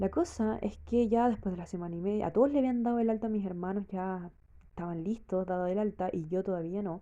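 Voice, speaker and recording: A woman speaks with a Chilean accent. Her pace is very fast. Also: medium pitch for a woman, ordinary pitch variation. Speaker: vlogger. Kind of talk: personal testimony. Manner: casual, hesitant with fillers.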